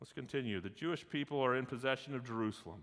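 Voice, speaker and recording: The speech rushes along at a very fast pace with lively intonation. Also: man. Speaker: pastor. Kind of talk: bible class teaching. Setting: livestreamed class.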